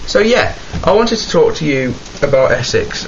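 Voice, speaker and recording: Noticeable background noise and audible room echo surrounding a man's speech. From West Midlands, England (Birmingham). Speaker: vlogger. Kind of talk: casual rant to camera. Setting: home, camera in wardrobe. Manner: animated.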